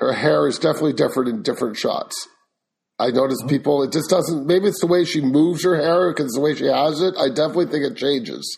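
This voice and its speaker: Talking at a very fast pace, a man with a fairly high voice shows vocal fry. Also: ordinary pitch variation. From Canada. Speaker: podcast host. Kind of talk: interview.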